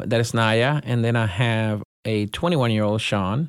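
Speaking with a Spanish accent, a man uses a fairly low pitch and fairly slow pace on a very clean recording with a silent background. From Puerto Rico. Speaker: school superintendent. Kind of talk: interview.

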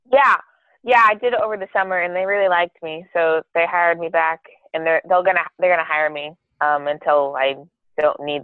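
A woman with a normal speaking voice talks at a fairly quick pace. Her pitch is fairly low, with ordinary variation. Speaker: guest, host's sister, college student. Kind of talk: casual chat.

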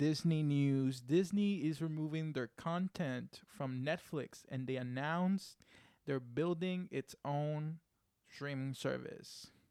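A man talks at a very slow pace in a dark, mellow tone, his pitch fairly high with ordinary variation. The sound is dry and close, with no echo. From Puerto Rico. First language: Spanish. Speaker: podcast producer and co-host. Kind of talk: casual chat; news reading. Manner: animated.

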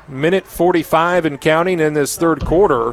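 A man speaks in a fairly high voice. Noticeable background noise accompanies him. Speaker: radio play-by-play announcer. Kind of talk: live sports play-by-play commentary. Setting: stadium press box, radio broadcast.

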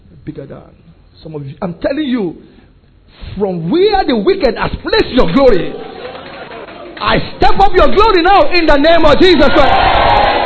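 Extremely high in pitch, a man speaks in an animated tone with very wide pitch swings and big swings in loudness at a moderate pace. Long, frequent pauses come through over noticeable background noise. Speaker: pastor. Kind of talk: sermon. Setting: church with congregation.

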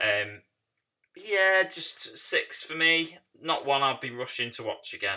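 A man with a British accent speaks at a very slow pace, his pitch fairly high with very wide swings. His tone is bright and sharp. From Britain. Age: 30s. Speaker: film podcast host. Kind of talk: casual solo podcast monologue.

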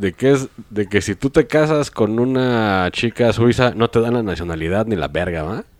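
Recorded very cleanly with a silent background and a dry, close sound with no echo, a man speaks in a medium pitch with lively intonation, an unremarkable speaking voice. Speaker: podcast co-host. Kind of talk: casual chat.

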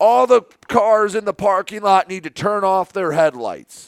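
A put-on character voice, gruff and angry in tone, at a moderate pace with lively intonation. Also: man, high pitch for a man. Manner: angry, gruff.

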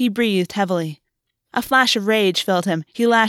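A natural reading voice with ordinary pitch variation against a quiet background.

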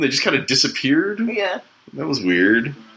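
A man with a Canadian accent, fairly high in pitch, at a moderate pace. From Canada. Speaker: podcast host. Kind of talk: casual chat. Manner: halting.

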